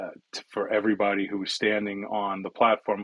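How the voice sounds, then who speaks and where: A man with a New York accent talks at a fairly low pitch. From US Northeast, New York City (Bronx). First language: Italian. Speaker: cybersecurity executive. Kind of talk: interview conversation. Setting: online audio room.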